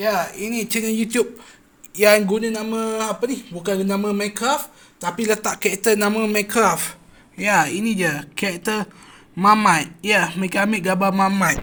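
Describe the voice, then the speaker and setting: Loud and bright, sharp in tone, a man speaks at a high pitch and fairly slow pace with fairly even intonation. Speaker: YouTuber reviewing cartoon channels. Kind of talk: casual commentary video. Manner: loud, raised voice.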